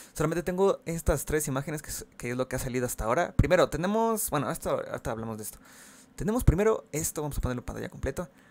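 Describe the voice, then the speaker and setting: Very fast speech with lively intonation in a Mexican accent. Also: man, fairly high pitch for a man. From Mexico. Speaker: gaming YouTuber. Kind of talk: casual video commentary. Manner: halting.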